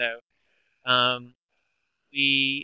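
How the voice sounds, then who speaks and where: Mumbling at a medium pitch, a man speaks with an American accent. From US South. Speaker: arts agency program director. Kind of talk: webinar Q&A. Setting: webinar, online presentation. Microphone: voice cutting in and out.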